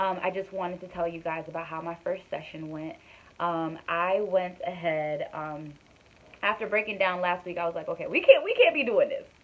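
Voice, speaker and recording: A woman with a medium-pitched voice and fairly even intonation speaks with big swings in loudness. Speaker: vlogger. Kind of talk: personal vlog, casual talk to camera. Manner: fast; hesitant, many fillers. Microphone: recorded on phone.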